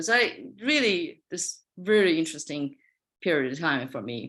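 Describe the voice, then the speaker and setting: A woman with a Chinese accent speaks at a fairly slow pace on a very clean recording with a silent background. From China, Qingdao. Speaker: fiber artist. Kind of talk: artist talk presentation. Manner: halting.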